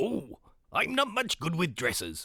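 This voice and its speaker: The pace stays moderate. It is delivered in a put-on character voice. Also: man. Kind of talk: pirate talk. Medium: read story.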